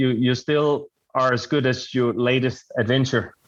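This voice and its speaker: Speaking at a fairly slow pace, a man with a Danish accent keeps a medium pitch and fairly even intonation. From Denmark. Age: 30s. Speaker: adventure racer. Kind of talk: interview. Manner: halting.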